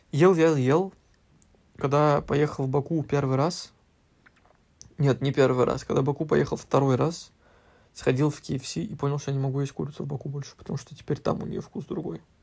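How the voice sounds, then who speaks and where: This man speaks at a moderate pace with a fairly high pitch and ordinary pitch variation. He leaves long, frequent pauses. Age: 20s. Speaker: podcast guest, host's husband. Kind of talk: casual chat.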